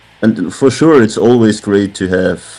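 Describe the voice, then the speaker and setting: A man talks at a very slow pace, with music in the background. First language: German. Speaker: metal band member. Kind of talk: interview. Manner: halting.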